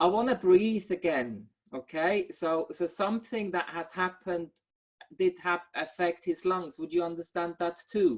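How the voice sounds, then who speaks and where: A woman speaks at a fairly low pitch and a fairly slow pace. Her pitch varies in an ordinary way. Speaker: medium. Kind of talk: mediumship reading in online service. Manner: halting, many repeated words.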